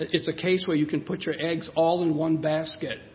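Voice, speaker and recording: A man talks with a high pitch. Noticeable background noise sits underneath. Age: 60s. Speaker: preacher. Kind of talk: sermon. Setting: church.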